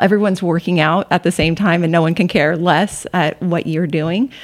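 This woman has a normal speaking voice. Her pitch is fairly low. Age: 50s. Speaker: CrossFit coach and gym member. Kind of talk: casual interview.

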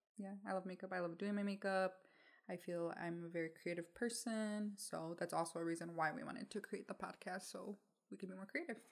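At a fairly quick pace, a woman speaks in an unremarkable speaking voice of medium pitch with fairly even intonation. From Mexico, raised in Michigan, US. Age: 20s. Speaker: podcast co-host. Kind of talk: casual chat. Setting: home recording with dog, video.

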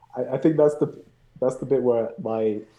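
Dark and mellow in tone, this voice has a British accent and moves at a fairly quick clip with fairly level intonation. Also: man. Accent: noticeable British. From Birmingham, England. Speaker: beer and movie fan guest.

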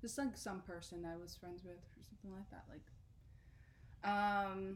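A woman speaking at a fairly slow pace with audible room echo. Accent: American. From South Jersey. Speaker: podcast co-host. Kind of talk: casual chat.

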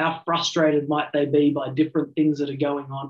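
With an Australian accent, a man talks at a moderate pace in a fairly high pitch. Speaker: business coach. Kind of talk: interview conversation.

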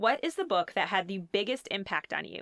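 Her tone bright and sharp, a woman talks at a moderate pace and medium pitch with very wide pitch swings, in dry, close sound with no echo. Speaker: podcast host. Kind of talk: casual chat.

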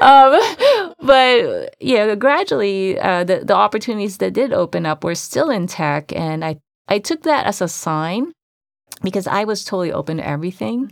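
A woman's voice swings very widely in pitch on a very clean recording with a silent background. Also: medium pitch for a woman, moderate pace. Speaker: podcast co-host in tech. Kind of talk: casual chat. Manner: soft-spoken; hesitant, many fillers.

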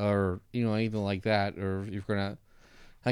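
A man speaks in a plain, everyday voice at a fairly low pitch. His pace is fairly quick, in a very clean recording with a silent background. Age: 40s. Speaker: podcast host. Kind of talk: casual interview chat.

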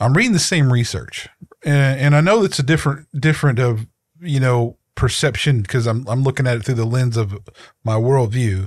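A man speaks at a medium pitch with ordinary pitch variation, somewhat breathy and at a very even loudness, on a very clean recording with a silent background. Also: moderate pace. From rural area, not a city. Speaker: podcast co-host. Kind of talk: casual chat.

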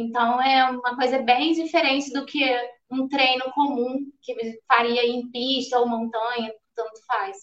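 A woman's high-pitched voice with flat, monotone intonation. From interior of Rio de Janeiro state, Brazil. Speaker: ultramarathon runner. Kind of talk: casual chat. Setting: live stream.

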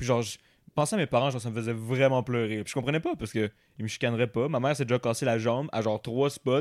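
In a very clean recording with a silent background and a dry, close sound with no echo, a man with a Quebec accent speaks at a very fast pace with fairly even intonation. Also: medium pitch for a man. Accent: Québécois French. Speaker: podcast co-guest, theatre person. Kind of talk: casual chat.

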